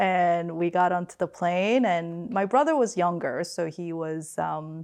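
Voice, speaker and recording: This woman has a Korean accent and a fairly low pitch, with ordinary pitch variation. She talks at a fairly slow pace against a quiet background. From Queens, New York (from age 12; Seoul before). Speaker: finance executive. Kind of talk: family interview. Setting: remote video call.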